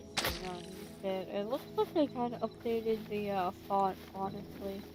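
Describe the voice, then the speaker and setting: A woman talks quietly at a moderate pace. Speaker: gaming streamer. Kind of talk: casual gameplay commentary. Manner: calm.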